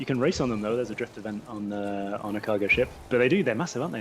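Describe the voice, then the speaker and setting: A man with a fairly low voice at a very fast pace, ordinary pitch variation, and music in the background. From Scotland. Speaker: game developer guest. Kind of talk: casual chat during gameplay livestream.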